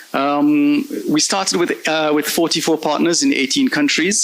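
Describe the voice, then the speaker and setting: A man talks over noticeable background noise. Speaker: invited conference speaker, research data project manager. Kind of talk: conference presentation. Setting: conference stage with audience. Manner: fast.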